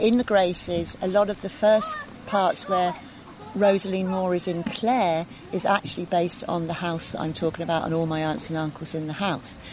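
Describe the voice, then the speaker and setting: Background noise is noticeable as a woman speaks. Her voice is fairly low, with fairly even intonation. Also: moderate pace. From London, England. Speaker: author. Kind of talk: casual interview chat. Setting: outdoors by a lake.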